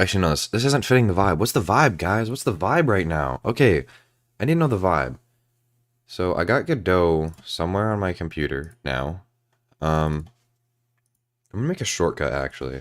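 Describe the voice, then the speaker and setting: Over a very clean recording with a silent background, a man with a very deep, low pitch and vocal fry swings his pitch very widely at a moderate pace, leaving long, frequent pauses. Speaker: gaming and game-dev streamer. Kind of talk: casual livestream chat.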